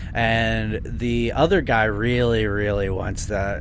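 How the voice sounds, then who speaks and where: Noticeable background noise accompanies a man speaking in a playful tone. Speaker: podcast host. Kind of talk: casual comedic chat, riffing on a movie-riffing show. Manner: playful, joking, banter.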